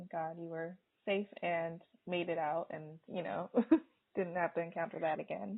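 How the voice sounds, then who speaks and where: At a moderate pace, a woman talks in an unremarkable speaking voice, fairly low in pitch with fairly even intonation. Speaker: podcast host. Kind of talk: podcast interview host.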